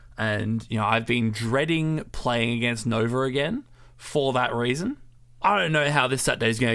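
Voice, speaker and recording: Lively intonation marks this voice with an Australian accent, heard on a very clean recording with a silent background. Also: man. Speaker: podcast co-host. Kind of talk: casual chat. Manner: soft-spoken.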